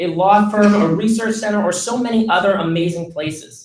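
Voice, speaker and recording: High-pitched for a man, this voice keeps its intonation fairly even. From Massachusetts, near Boston. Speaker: student intern speaker. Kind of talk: commencement speech.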